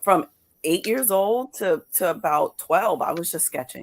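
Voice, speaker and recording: A woman with a New York accent, at a fairly slow pace. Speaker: comics creator and awards judge. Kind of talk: interview on live podcast. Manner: halting, frequent repetitions.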